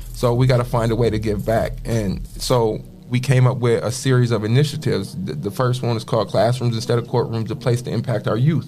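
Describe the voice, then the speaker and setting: With an American accent, the speaker talks at a fairly quick pace with hardly any pauses over noticeable background noise. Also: man, medium pitch for a man, ordinary pitch variation. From Toledo, Ohio, US Midwest. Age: 30s. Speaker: community youth mentor. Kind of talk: personal testimony.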